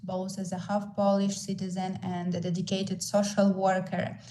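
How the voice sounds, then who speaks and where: In a Ukrainian accent, a woman speaks with a dark, mellow, somewhat breathy tone, and room echo is audible. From Ukraine. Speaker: social worker. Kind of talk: online panel presentation.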